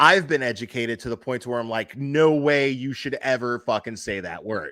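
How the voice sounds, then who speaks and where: Bright, sharp tone from a man with an American accent, medium-pitched, at a moderate pace with ordinary pitch variation, on a very clean recording with a silent background. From Miami, Florida. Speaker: livestream host. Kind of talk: casual chat.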